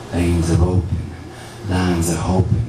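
Over noticeable background noise and audible room echo, a man talks at a fairly slow pace with a very deep, low pitch. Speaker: spoken word poet. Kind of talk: spoken word poetry performance at open mic. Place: cafe.

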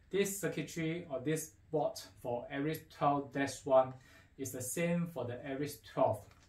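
A man speaks at a fairly slow pace in a fairly high pitch with ordinary pitch variation. Room echo is audible. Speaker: audio equipment dealer presenter. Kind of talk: product unboxing talk to camera. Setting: faulty microphone. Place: studio.

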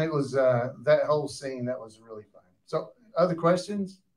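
With a Southern US accent, a man talks at a moderate pace, his fairly high voice carrying lively intonation. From US South. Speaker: cast member moderating audience questions; panelist. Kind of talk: live post-screening Q&A. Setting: stage with audience in a theater. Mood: jovial, animated. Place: hall.

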